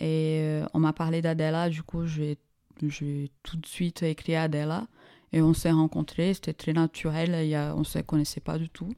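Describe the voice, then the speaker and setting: On a very clean recording with a silent background, a woman with a Portuguese accent speaks slowly enough to sound fairly slow, very deep and low in pitch, with a dark, mellow tone, monotone, flat intonation and a dry, close sound with no echo. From Brazil. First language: Portuguese (speaking French). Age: 30s. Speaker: startup co-founder. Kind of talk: interview.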